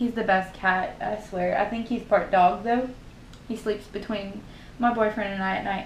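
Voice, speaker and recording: A woman with a Southern US accent speaks at medium pitch and a moderate pace, her intonation fairly even. Room echo is audible along with noticeable background noise. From US South. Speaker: beauty YouTuber. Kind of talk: makeup tutorial; casual chat. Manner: casual, chatty.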